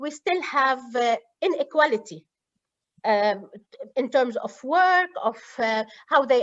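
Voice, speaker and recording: A woman with an Arabic accent, high-pitched, at a fairly slow pace with lively intonation. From Lebanon. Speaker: university student affairs administrator. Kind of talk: interview. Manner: halting.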